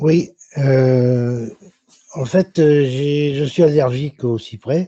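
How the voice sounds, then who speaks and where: Dry and close with no echo, a man's dark, mellow voice keeps a fairly even intonation. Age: 70s. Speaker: consumer association member. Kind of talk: audience question in online Q&A. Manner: halting.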